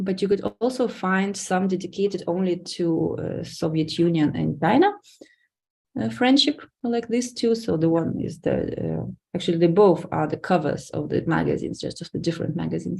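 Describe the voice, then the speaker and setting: A woman with a Lithuanian accent speaks at a moderate pace. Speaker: academic researcher. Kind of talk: lecture.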